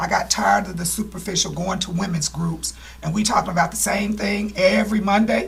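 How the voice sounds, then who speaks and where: Noticeable background noise accompanies a woman who speaks fairly quickly. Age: 60s. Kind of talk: testimony.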